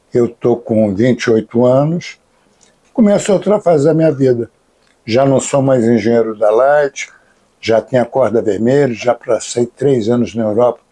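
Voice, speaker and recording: A man talks at a medium pitch and a moderate pace, with a dark, mellow tone. His pitch varies in an ordinary way, and his loudness stays very even. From Brazil, Rio de Janeiro. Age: 70s. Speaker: capoeira master and author. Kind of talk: interview. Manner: casual, slangy.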